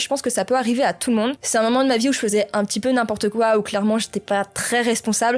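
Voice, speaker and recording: Her pitch fairly high and her intonation fairly even, a woman talks at a very fast pace. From France, Normandy. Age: 20s. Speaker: gaming YouTuber. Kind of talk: personal vlog confession.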